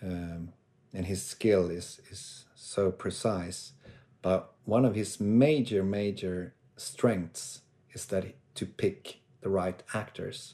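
Over a quiet background, a man with a fairly low, dark, mellow voice speaks at a very slow pace, with ordinary pitch variation and big swings in loudness. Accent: Swedish. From northern Sweden. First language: Swedish. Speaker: actor. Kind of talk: casual chat. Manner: halting.

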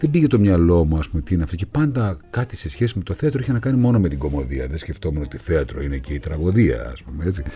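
Through noticeable background noise, a man with a very deep, low voice talks at a very fast pace with hardly any pauses and very wide pitch swings. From Greece, Thessaloniki (Pontic Greek roots). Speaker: actor. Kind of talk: interview. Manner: animated.

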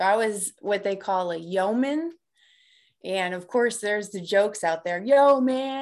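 Against a quiet background, a woman with an ordinary speaking voice talks at medium pitch and a fairly slow pace with lively intonation. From US Midwest, south side of Chicago. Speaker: life coach, author, navy veteran. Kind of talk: interview.

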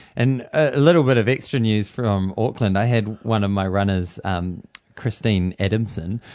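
A man speaks with a New Zealand accent and ordinary pitch variation. The background is quiet. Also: fairly low pitch for a man, moderate pace. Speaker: running podcast co-host and running coach. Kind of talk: casual chat.

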